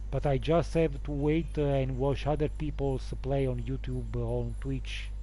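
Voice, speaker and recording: A man speaks at a fairly slow pace in a very deep, low voice, somewhat breathy, with a dark, mellow tone and fairly even intonation. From Naples area, southern Italy. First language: Neapolitan. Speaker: gaming streamer. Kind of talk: live stream Q&A. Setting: live stream. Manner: halting, many fillers and restarts.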